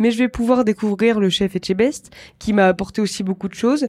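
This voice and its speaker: The recording is very clean with a silent background as a woman talks, her pitch varying in an ordinary way. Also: dry, close sound with no echo. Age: 20s. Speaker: chef. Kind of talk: interview testimony.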